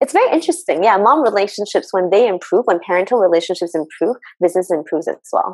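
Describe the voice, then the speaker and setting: Very fast speech with lively intonation and very even loudness comes through a dry sound with no echo over a quiet background. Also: woman, medium pitch for a woman. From China, Shanghai. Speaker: personal innovation coach. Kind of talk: casual interview. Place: home room. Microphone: earbuds.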